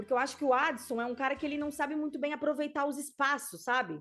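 A woman talks at a fairly quick pace with a Brazilian accent and a high pitch. The recording is very clean, with a silent background. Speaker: football pundit. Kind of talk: casual chat.

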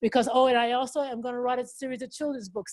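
Very fast, animated speech from a high-pitched woman with an American accent, dry with no echo, over a quiet background. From Oklahoma. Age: 60s. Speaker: motivational speaker and motorcyclist; motivational speaker. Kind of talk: motivational talk. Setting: video call. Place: home room. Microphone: video call.

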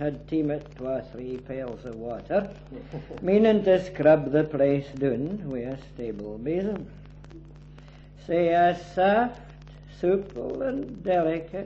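In a Scottish accent, a man with a fairly high pitch talks at a very slow pace with long, frequent pauses, lively intonation and big swings in loudness, over light background noise. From Scotland. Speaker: poet. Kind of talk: poetry reading. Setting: home recording at a private party. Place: home room.

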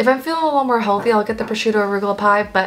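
The pitch of this woman's speech varies in an ordinary way. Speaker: food vlogger. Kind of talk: casual vlog chat. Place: home room.

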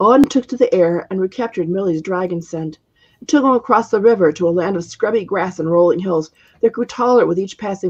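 This is plain reading aloud with a quiet background.

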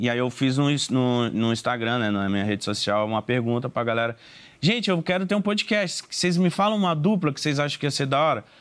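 At a fairly quick pace, a man talks at medium pitch with very wide pitch swings. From Belém, Pará, northern Brazil; Pará, Brazil. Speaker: podcaster. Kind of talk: casual interview chat. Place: studio.

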